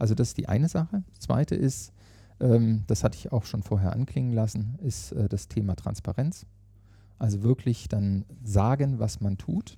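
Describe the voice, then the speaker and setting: On a very clean recording with a silent background, a man at medium pitch speaks at a moderate pace in a dark, mellow, somewhat breathy tone with lively intonation. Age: 50s. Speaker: managing director of a training academy. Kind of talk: interview. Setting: meeting room at company headquarters.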